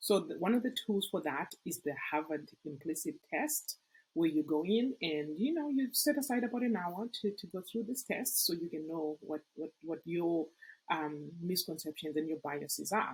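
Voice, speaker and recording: With an African accent, a woman speaks in a fairly low, somewhat breathy voice at a moderate pace, her pitch swinging very widely. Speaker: nonprofit executive recruitment consultant, company CEO. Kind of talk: podcast interview.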